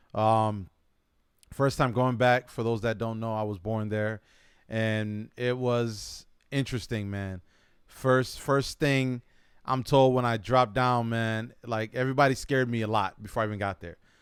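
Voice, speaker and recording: A man with an unremarkable speaking voice at medium pitch, in an American accent, with fairly even intonation at a moderate pace over a very clean recording and silent background. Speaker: podcast host. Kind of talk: casual chat.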